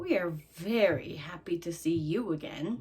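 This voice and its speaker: Someone doing a put-on character voice speaks at a moderate pace and a middle pitch. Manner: sarcastic, dripping with sarcasm.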